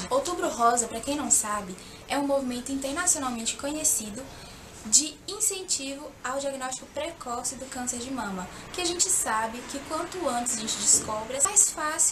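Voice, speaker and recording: Against noticeable background noise and audible room echo, a woman talks at a moderate pace in a high voice with lively intonation. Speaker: makeup youtuber. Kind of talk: makeup tutorial.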